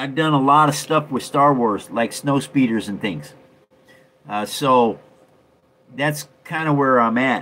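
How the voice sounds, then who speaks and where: A man's bright, sharp tone at a fairly slow pace, with ordinary pitch variation. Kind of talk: casual livestream show and tell. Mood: relaxed, friendly. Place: home room. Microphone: phone near.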